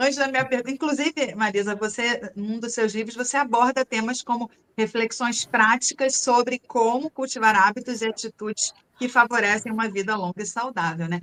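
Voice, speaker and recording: A woman with a plain, everyday voice talks at a moderate pace in a fairly high pitch with ordinary variation. The sound is dry and close, with no echo. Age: 50s. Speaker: interviewer. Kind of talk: interview.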